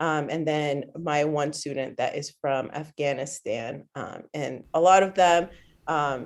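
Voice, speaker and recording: On a very clean recording with a silent background, a woman with a Spanish accent speaks at a very slow pace in a very deep, low pitch with fairly even intonation. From Guatemala, came to US at seven. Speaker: teacher. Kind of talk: interview. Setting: podcast. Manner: hesitant, many fillers.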